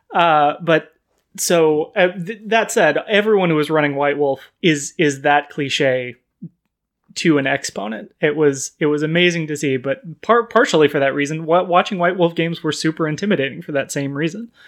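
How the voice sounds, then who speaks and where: A man with an American accent talks at a moderate pace in an ordinary speaking voice, fairly high in pitch, with ordinary pitch variation. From US West Coast (Sacramento, California). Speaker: podcast guest, game fan. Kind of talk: casual chat.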